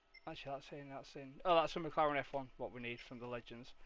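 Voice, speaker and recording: A man's fairly high voice with a Yorkshire accent at a very fast pace. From Yorkshire, northern England (Hull area). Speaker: gaming streamer. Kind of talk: casual live-stream commentary. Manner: relaxed, hesitant with fillers.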